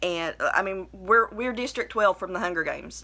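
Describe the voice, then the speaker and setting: A woman with a strong Appalachian accent talks at a medium pitch with ordinary pitch variation and a bright, sharp tone, on a very clean recording with a silent background. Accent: thick Appalachian. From southern West Virginia. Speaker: vlogger. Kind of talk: personal video blog monologue. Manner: hesitant, many fillers; trying to enunciate.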